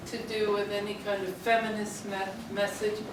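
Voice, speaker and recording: A woman speaks at a fairly high pitch and a fairly slow pace. Audible room echo and noticeable background noise fill the recording. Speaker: artist. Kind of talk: artist talk. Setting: gallery with audience, no microphone.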